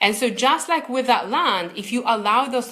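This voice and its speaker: A woman speaks with a non-native accent. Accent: foreign accent, second-language English. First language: not English. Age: 30s. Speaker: success coach. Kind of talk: live webinar coaching talk. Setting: livestream video. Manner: hesitant, many repeated words.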